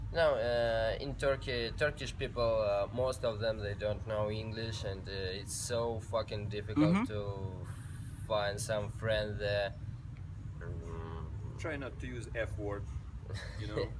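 Amid noticeable background noise, a man speaks at a fairly slow pace with long, frequent pauses, a fairly low pitch and ordinary pitch variation. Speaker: guest. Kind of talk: interview answer. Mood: relaxed, jokey. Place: street. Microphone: camera far.

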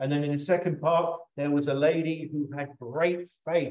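In a room with audible echo but a quiet background, a man talks at a fairly slow pace with monotone, flat intonation. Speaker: pastor. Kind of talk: sermon. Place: church.

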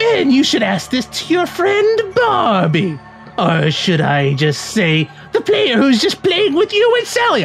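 A put-on character voice moves at a fairly slow pace with clear music in the background. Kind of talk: comic game dialogue read-aloud. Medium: game stream. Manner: taunting, theatrical.

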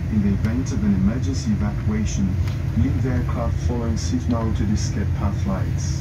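A man speaks at a moderate pace. Loud background noise runs throughout. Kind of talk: safety announcement. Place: plane.

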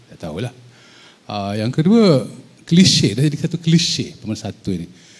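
With a fairly brisk delivery, a man's pitch rises and falls over a very broad range. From Malaysia. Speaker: president of a writers' federation; panelist. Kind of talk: panel discussion. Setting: hall with audience. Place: hall. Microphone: handheld.

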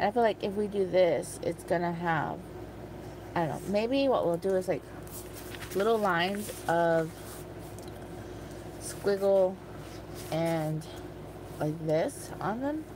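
A woman talks at a very slow pace with long, frequent pauses, in a dry recording with no echo and noticeable background noise. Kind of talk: casual crafting chat. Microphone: phone near.

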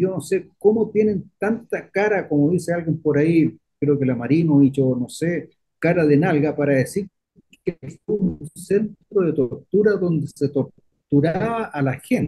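Speaking at a fairly slow pace, a man has a normal speaking voice, fairly high in pitch, with ordinary pitch variation. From Chile, Viña del Mar. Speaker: lawyer, radio commentator. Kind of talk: radio talk show discussion.

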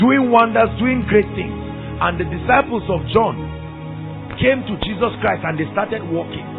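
A man speaks with music in the background. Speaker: preacher. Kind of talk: sermon to a congregation. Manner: emphatic, engaging the audience with questions.

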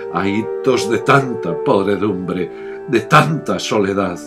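Background music under a man's very slow speech. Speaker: poetry reciter. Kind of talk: poetry reading.

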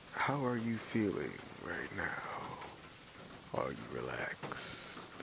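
A man's whisper at a very slow pace over noticeable background noise. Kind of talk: ASMR relaxation whisper for sleep. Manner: whispered, slow, calm.

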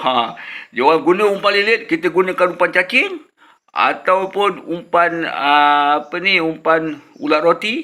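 Here a man speaks at a high pitch with lively intonation. His pace is fairly slow and his loudness very even. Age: old. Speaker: fishing vlogger. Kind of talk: tutorial. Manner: casual.

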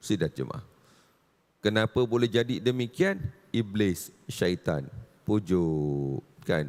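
A man talks at a very slow pace with long, frequent pauses. His pitch swings very widely. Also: fairly low pitch for a man. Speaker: religious teacher. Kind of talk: religious lecture. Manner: animated.

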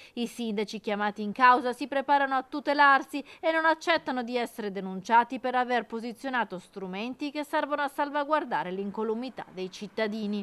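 At a fairly quick pace, a woman speaks high and with a bright, sharp tone, the sound dry and close with no echo. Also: ordinary pitch variation. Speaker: news anchor. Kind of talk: formal TV news reading, scripted. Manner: formal; brisk, even-paced, authoritative delivery.

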